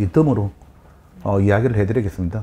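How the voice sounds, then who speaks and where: A man is speaking. He has a strong Gyeongsang accent. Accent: thick Gyeongsang dialect. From Busan, Yeongnam (southeastern Korea). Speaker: real estate consultant and lecturer. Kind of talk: lecture.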